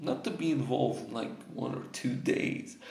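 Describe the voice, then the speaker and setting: Audible room echo surrounds a man who speaks at a fairly slow pace with a Polish accent. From Poland. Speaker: board game reviewer. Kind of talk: unboxing video. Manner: casual, hesitant with fillers.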